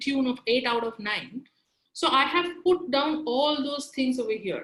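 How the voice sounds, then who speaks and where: With a Bengali accent, a woman speaks in a high pitch with ordinary pitch variation. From India, Kolkata. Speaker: career trainer. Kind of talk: webinar lecture. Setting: online webinar.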